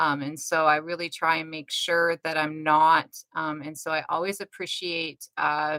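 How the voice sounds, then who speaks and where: A woman with a very deep, low pitch speaks at a fairly slow pace in a monotone, flat intonation, recorded with a dry, close sound and no echo. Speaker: livestream host. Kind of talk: casual chat. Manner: hesitant, repeats words.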